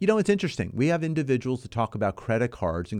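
Upbeat in tone, the voice makes very wide pitch swings against a quiet background. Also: man. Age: 50s. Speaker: radio host and mortgage company CEO. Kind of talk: weekly real estate call-in radio show, host monologue; radio ad pitch urging listeners to phone in, reading out the toll-free number. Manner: upbeat, folksy, talking straight to the listener; brisk, emphatic call-to-action delivery, repeating the phone number.

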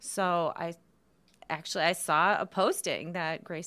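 On a very clean recording with a silent background, a woman with a Midwestern accent speaks at medium pitch with fairly even intonation. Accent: general American, Midwest. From northern Michigan. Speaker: nonprofit staff member, event organizer. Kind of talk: casual interview chat.

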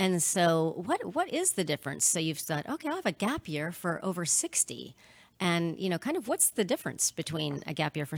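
This woman has an ordinary speaking voice, fairly low in pitch, moving at a fairly quick pace with a dry, close sound and no echo. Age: 40s. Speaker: podcast host and counselor. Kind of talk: casual interview. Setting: video call.

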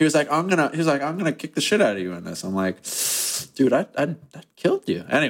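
Very fast and fairly high, a man's voice shows vocal fry and very wide pitch swings. The recording is very clean, with a silent background. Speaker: podcast host. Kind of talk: casual podcast banter.

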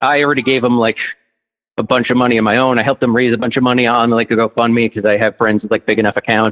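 A man's medium-pitched voice, very fast, with monotone, flat intonation and very even loudness. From New Jersey. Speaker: caller. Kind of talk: phone-in chat. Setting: phone call.

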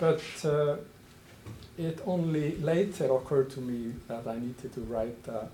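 Soft-spoken and with an Icelandic accent, a man talks at a fairly slow pace with ordinary pitch variation. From Iceland, Westman Islands. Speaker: anthropology professor. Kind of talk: academic lecture. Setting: lecture hall with audience.

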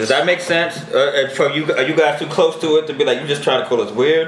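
Amid audible room echo and noticeable background noise, a man with an American accent speaks at a fairly high pitch. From New York (Brooklyn). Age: 30s. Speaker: DJ. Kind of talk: casual chat.

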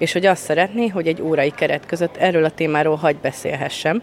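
A woman speaks with a very deep, low voice. Her pace is very fast, with ordinary pitch variation. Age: 30s. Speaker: trainee primary school teacher. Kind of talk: interview.

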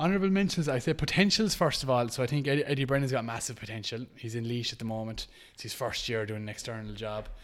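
A man with an Irish accent, medium pitch and lively intonation, at a very fast pace with hardly any pauses. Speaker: Gaelic games pundit. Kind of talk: casual chat. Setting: at home.

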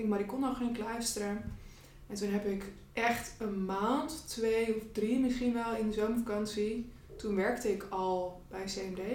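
Amid noticeable background noise and audible room echo, a woman speaks at a fairly high pitch and fairly slow pace, her intonation fairly even. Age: 30s. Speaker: student coach and entrepreneur. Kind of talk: casual chat.

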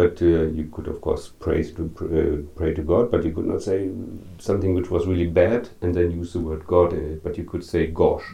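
Somewhat breathy and very deep in pitch, this man talks at a moderate pace with fairly even intonation. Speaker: radio host.

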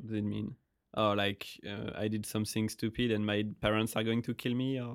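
The speaker has a French accent and a moderate pace. The intonation is monotone and flat. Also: man, fairly low pitch for a man. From France. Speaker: podcast host. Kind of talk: casual chat.

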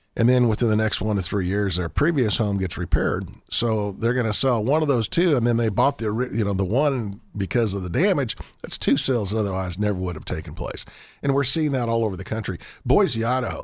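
Here a man talks at a fairly quick pace with a Texan accent. His intonation is lively. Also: medium pitch for a man. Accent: Texan American. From Colorado, US. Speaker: economist. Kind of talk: radio interview.

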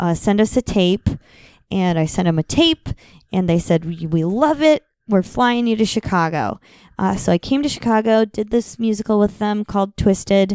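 Speaking at a moderate pace with lively intonation, a woman with an Upper Midwestern accent is heard on a very clean recording with a silent background. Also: medium pitch for a woman. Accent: Upper Midwestern American. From Madison, Wisconsin. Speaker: actress and comedian. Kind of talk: casual chat. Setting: at her home.

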